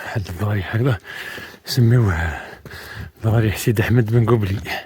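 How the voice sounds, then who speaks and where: Noticeable background noise surrounds a man with an Algerian accent who speaks at a fairly slow pace and a fairly low pitch, with ordinary pitch variation. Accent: Algerian Arabic (Setif). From Algeria, Setif province. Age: 40s. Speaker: adventure vlogger. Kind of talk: outdoor travel vlog monologue. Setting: outdoors in mountains.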